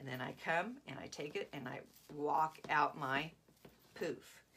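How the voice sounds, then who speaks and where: Lively intonation over light background noise. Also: woman. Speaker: craft tutorial host. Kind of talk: live-streamed craft tutorial. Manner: casual, chatty. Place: home room. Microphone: phone near.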